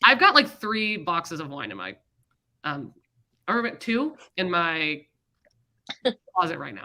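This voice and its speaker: With an American accent and vocal fry, a woman speaks at a fairly slow pace in a bright, sharp tone, her fairly low pitch showing very wide pitch swings, her loudness swinging widely, and her speech marked by long, frequent pauses. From Florida. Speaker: book livestream co-host. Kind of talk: casual chat.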